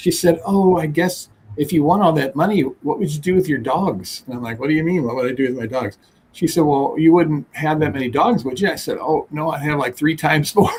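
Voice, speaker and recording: Fairly quickly and in an unremarkable speaking voice, a man talks with a fairly high pitch that varies in an ordinary way. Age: 60s. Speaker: dog breeder. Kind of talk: casual chat.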